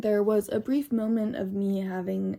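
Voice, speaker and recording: Somewhat breathy and dark, mellow in tone, a woman's medium-pitched voice moves with fairly even intonation on a very clean recording with a silent background. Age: 20s. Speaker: vlogger. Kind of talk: personal vlog monologue.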